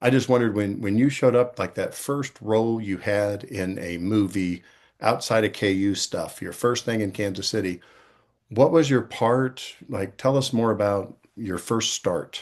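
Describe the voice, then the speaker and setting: Moderate pace from a man at a medium pitch, with ordinary pitch variation and a quiet background. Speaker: podcast host. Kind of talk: interview. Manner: loud.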